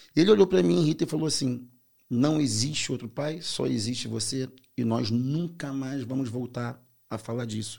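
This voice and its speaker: A man speaks with a strong Carioca accent and a dark, mellow tone. His intonation is lively. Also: medium pitch for a man, moderate pace. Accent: strong Brazilian (carioca). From Brazil, Rio de Janeiro (Belford Roxo). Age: 40s. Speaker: author. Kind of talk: casual interview.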